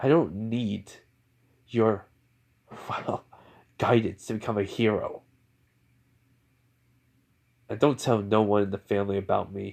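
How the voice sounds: In a put-on character voice, a man speaks at a fairly low pitch with a slightly mellow tone and vocal fry, keeping fairly even intonation at a slow pace broken by long, frequent pauses.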